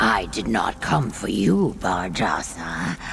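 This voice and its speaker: Whispering in a put-on character voice, the speaker is heard over clear background noise. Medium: video game. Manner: formal, terse.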